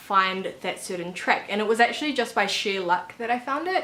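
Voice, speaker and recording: Moderate pace from a woman with a New Zealand accent, her fairly high voice set against noticeable background noise. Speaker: author and YouTuber. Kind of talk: casual vlog tutorial. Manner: casual, with many fillers.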